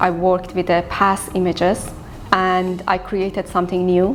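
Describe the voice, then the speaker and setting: Over noticeable background noise, a woman speaks in a Persian accent. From Iran. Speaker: visual artist. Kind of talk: interview monologue.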